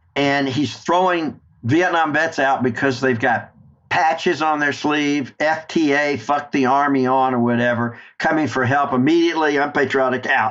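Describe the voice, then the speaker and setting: A man talks at a moderate pace with a Southern US accent and a fairly high pitch. His intonation is fairly even, and his loudness stays very even. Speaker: war veteran. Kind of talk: interview storytelling.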